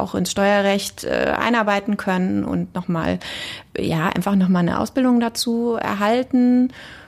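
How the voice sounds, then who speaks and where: A plain, everyday voice at a moderate pace. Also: woman. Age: 40s. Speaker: deputy tax office head, lawyer. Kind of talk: interview.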